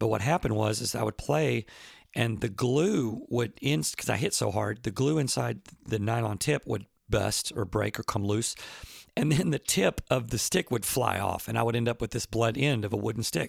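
Vocal fry colors this moderately paced voice, recorded with a dry, close sound and no echo. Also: man. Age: 50s. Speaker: professional drummer and podcast host. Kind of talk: casual solo talk answering listener questions. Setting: at home.

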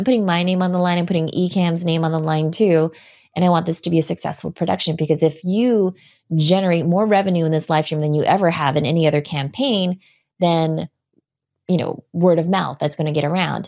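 A woman with a normal speaking voice, fairly low pitch, fairly even intonation and a fairly quick pace, on a very clean recording with a silent background. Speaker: live video strategist and trainer. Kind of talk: casual interview chat.

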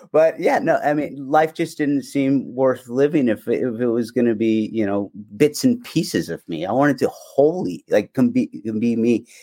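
A man at a moderate pace, on a very clean recording with a silent background. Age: 30s. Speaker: transgender man in recovery. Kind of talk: podcast interview.

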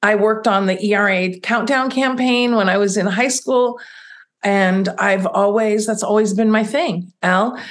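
A normal speaking voice from a woman, fairly high-pitched and fairly slow, with ordinary pitch variation and very even loudness. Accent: American. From US. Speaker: business coach. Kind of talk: casual chat.

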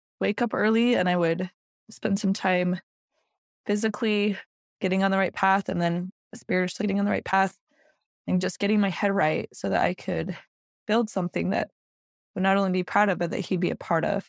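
With an American accent, a woman of medium pitch speaks at a fairly quick pace but with long, frequent pauses, her intonation fairly even and her loudness very even, in a dry, close sound with no echo. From Utah. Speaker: network marketing leader. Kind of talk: interview.

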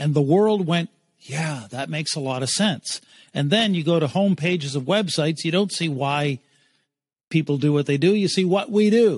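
With a Maritime Canadian accent, a man speaks at a moderate pace in a fairly high pitch. His pitch varies in an ordinary way over a quiet background. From Eastern Canada. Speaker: keynote speaker and brand strategist. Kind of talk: interview storytelling.

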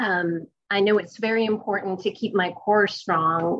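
An ordinary speaking voice from a woman, medium in pitch, with fairly even intonation at a fairly slow pace. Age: 50s. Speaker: news reporter. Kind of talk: interview.

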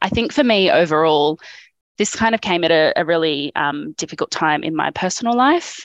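A woman in an Australian accent, with a dry, close sound and no echo. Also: fairly low pitch for a woman, lively intonation, moderate pace, quiet background. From regional Australia. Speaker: public servant. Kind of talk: group coaching conversation. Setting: video call from home studio. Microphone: good audio setup.

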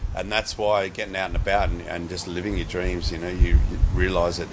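A man with an Australian accent, very deep and low in pitch with ordinary variation, amid noticeable background noise and audible room echo. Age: 30s. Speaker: professional BASE jumper. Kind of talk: casual interview. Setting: bar.

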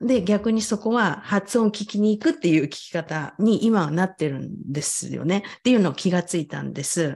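With lively intonation and a somewhat breathy sound, a woman speaks at a moderate pace. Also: medium pitch for a woman. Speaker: English pronunciation coach. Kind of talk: casual chat.

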